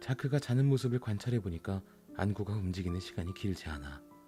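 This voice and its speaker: With music in the background, a man with a very deep, low pitch speaks at a fairly quick pace. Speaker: audiobook narrator. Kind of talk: audiobook reading.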